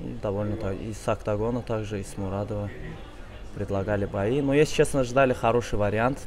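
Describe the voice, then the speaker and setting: A man with a plain, everyday voice talks at a fairly quick pace and a fairly low pitch, with ordinary pitch variation and big swings in loudness, over light background noise. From Azerbaijan. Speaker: MMA fighter; interviewee. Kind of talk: interview. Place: cafe. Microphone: lapel.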